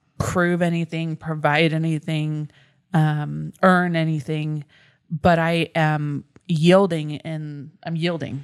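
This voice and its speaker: A woman's very deep, low voice at a fairly slow pace with fairly even intonation. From United States. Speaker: pastor. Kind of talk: casual chat. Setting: studio.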